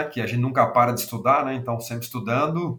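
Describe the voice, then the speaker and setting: This is an unremarkable speaking voice. Its pitch moves in an ordinary way. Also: man. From southern Brazil, Rio Grande do Sul. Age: 40s. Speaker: agricultural aviation industry executive. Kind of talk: interview.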